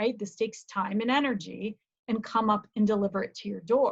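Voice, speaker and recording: This woman speaks with an American accent. Her voice sits fairly high and is somewhat breathy. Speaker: college lecturer. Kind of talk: lecture.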